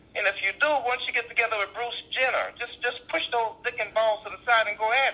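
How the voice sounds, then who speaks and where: A man with a New Orleans accent speaks at a fairly quick pace. His pitch is high, and background noise is noticeable. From US South, New Orleans. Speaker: stand-up comedian. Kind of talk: casual interview chat. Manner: fast talker.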